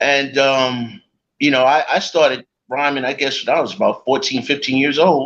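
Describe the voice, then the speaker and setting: With a New York accent, a man speaks at a moderate pace and a fairly high pitch. His loudness stays very even, and his intonation is fairly even. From New York, the Bronx. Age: 60s. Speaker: rapper. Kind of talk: interview.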